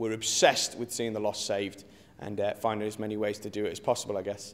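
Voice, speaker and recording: This man speaks with an English Midlands accent. His pitch is medium. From English Midlands (Rugeley, Staffordshire). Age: 20s. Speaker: pastor. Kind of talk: interview testimony.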